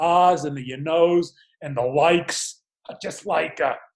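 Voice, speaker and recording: With an American accent, a man speaks in a high pitch at a fairly slow pace with ordinary pitch variation. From Pittsburgh, Pennsylvania. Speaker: lawyer and recovery speaker. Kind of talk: podcast interview. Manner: halting, with fillers and repetitions.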